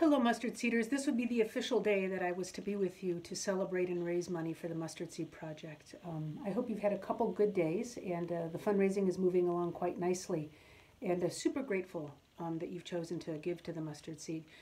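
A woman talks at a very fast pace with a warm tone. Her pitch varies in an ordinary way. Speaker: auctioneer. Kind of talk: casual talk to camera. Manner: warm, friendly. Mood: warm, grateful. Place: home room. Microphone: phone near.

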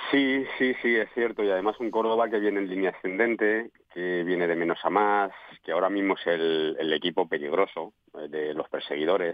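A man with a fairly low pitch speaks at a moderate pace with ordinary pitch variation, his voice dry with no echo against a quiet background. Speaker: former professional footballer, pundit. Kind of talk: radio sports panel discussion. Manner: halting, repeats words. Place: studio.

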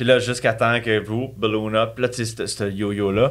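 The speaker has a Quebec accent and keeps a moderate pace. The background is quiet. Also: man. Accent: Québécois French. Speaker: author and bodybuilder; podcast guest. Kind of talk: casual chat. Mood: candid, animated. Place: studio. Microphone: studio mic.

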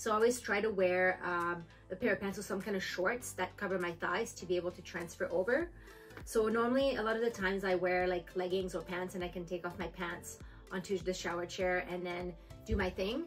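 Fairly quick speech with fairly even intonation over faint background music. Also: woman. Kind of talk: tutorial. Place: home room. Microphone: camera far.

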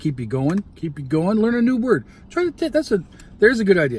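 Recorded in a dry sound with no echo over light background noise, a man talks at a very fast pace. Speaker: food vlogger. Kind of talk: casual vlog chat. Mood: warm, motivational. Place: car. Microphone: phone near.

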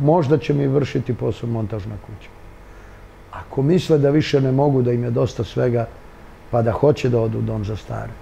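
Light background noise sits behind the voice. A man speaks at a very fast pace. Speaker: interviewee. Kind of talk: interview answer. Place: office. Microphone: lapel.

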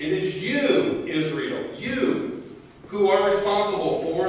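Very slow speech under strong room echo, with light background noise. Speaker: prophet character in a church skit. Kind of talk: staged courtroom drama performed in church. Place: church.

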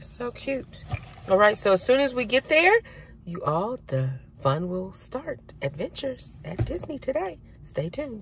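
The recording is dry with no echo, with light background noise. A woman speaks at a fairly slow pace. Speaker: vlogger. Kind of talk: casual vlog chat. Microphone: phone near.

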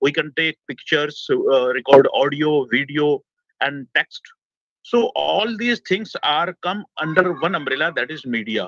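On a dry recording with no echo and a quiet background, a man with a fairly high voice speaks at a fairly slow pace with lively intonation and long, frequent pauses. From India. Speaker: media educator. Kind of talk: webinar lecture. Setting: video call, outdoors on a rooftop. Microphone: video call.

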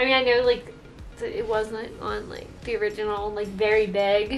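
A woman speaks at a moderate pace. Faint music plays in the background. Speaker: craft vlogger. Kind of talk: casual vlog chat. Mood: excited, cheerful. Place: home room. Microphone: camera far.

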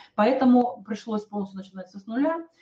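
Against a quiet background, a woman speaks in a dark, mellow, somewhat breathy tone with ordinary pitch variation. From Kazakhstan, Almaty. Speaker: network marketing presenter; presenter. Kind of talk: sales webinar. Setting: online webinar. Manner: hesitant, many filler sounds. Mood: calm, personal, persuasive. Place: home room. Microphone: webcam.

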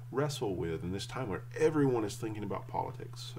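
Over noticeable background noise, a man speaks at a moderate pace in a somewhat breathy voice. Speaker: church teacher or pastor. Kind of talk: sermon. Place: home room. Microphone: webcam.

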